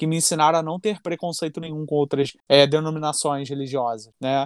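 With an ordinary speaking voice, a man talks at a fairly quick pace and a fairly high pitch, his intonation fairly even, in a very clean, dry, close recording with no echo and a silent background. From Rio de Janeiro, Campo Grande. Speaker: podcast host. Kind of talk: casual chat.

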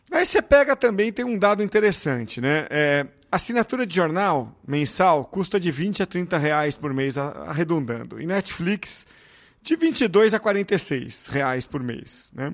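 In a very clean recording with a silent background, a man with a high pitch speaks fairly slowly, his pitch swinging very widely. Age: 40s. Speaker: podcast host. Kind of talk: interview.

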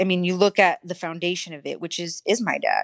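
Against a quiet background, a woman with a fairly low pitch speaks with fairly even intonation, in a dry, close sound with no echo. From US West Coast, San Francisco Bay Area; moved to Arizona at 13. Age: 30s. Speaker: podcast guest. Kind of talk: casual chat. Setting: video call.

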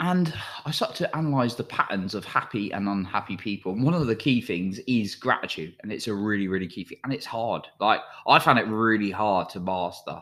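In a plain, everyday voice, a man speaks at a fairly quick pace and fairly low pitch with lively intonation, on a very clean recording with a silent background. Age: 30s. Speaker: self-help podcast host. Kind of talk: motivational monologue.

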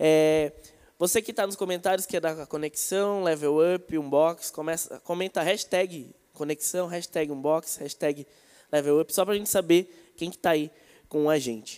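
A man talks at a moderate pace with a high pitch and fairly even intonation. The recording is very clean, with a silent background. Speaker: youth church leader. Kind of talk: casual chat. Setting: livestream.

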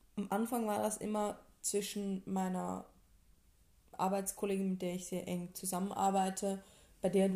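A dark, mellow tone moves at a fairly slow pace with monotone, flat intonation. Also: woman. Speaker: podcast co-host. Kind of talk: casual chat. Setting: home living room.

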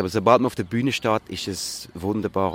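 At a moderate pace, a man with a fairly low voice and fairly even intonation is heard in a dry, close sound with no echo, along with noticeable background noise. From Switzerland, Zurich. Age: 40s. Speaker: musical performer. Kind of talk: interview. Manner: hesitant, many fillers.

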